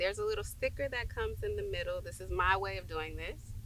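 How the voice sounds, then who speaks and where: Audible room echo surrounds this woman's voice. She talks at a fairly quick pace. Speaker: nail tech. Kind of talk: tutorial. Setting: outdoors. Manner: casual.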